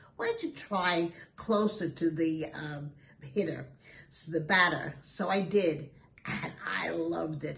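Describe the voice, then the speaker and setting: A woman's fairly low voice with an American accent and ordinary pitch variation, over noticeable background noise. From Brooklyn, New York. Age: 80s+. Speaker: school alumna. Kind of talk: interview.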